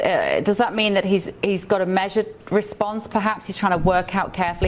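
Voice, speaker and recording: A woman's medium-pitched voice with a British accent, fairly even intonation and a fairly quick pace, over noticeable background noise. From United Kingdom. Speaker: news show host. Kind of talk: live news interview.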